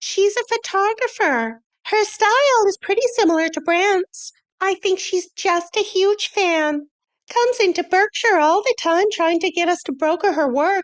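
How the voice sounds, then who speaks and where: Doing a put-on character voice, a woman sounds squeaky and extremely high-pitched, with lively intonation at a moderate pace. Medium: read story. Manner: breezy, teasing.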